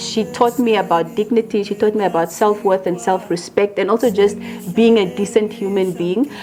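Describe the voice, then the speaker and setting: A woman talks at a moderate pace in a medium pitch. Noticeable background noise runs behind her. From Namibia. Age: 30s. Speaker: actress and producer. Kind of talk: interview. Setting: at her home. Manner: calm, quiet.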